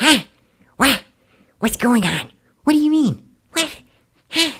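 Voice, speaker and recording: This put-on character voice has a high pitch and a fairly slow pace. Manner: confused, startled, flustered.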